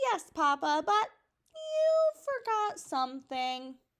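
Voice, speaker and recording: Very slowly, a woman uses a put-on character voice that is raised and projected, extremely high in pitch, with very wide pitch swings. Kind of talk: bedtime story. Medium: read story. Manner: eager, excitable.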